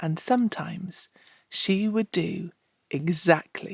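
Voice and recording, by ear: Reading aloud in a natural voice with ordinary pitch variation, the speaker is heard over a quiet background.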